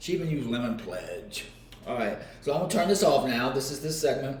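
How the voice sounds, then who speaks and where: A man with an American accent and lively intonation, with audible room echo. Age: 60s. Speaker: author. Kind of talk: casual vlog, cooking while talking about life. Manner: casual, hesitant with fillers.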